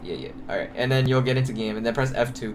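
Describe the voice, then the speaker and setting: The speech comes at a very fast pace. Noticeable background noise runs underneath it. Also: man. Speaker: game coach. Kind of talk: coaching session over voice call. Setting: online voice call. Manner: loud.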